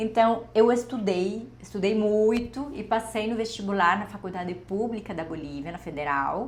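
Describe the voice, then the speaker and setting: With a Spanish accent and a fairly high pitch, a woman speaks at a moderate pace with hardly any pauses, her loudness swinging widely amid audible room echo. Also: ordinary pitch variation. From Bolivia, Santa Cruz de la Sierra. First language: Spanish (speaking Portuguese). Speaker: doctor, endocrinology. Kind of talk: personal story vlog.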